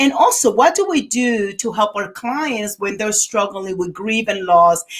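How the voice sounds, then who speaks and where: A woman with a fairly high voice and lively intonation speaks at a moderate pace. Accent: Dominican. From Dominican Republic. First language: Spanish. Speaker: podcast host, therapist and author. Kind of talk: live podcast interview. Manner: energetic.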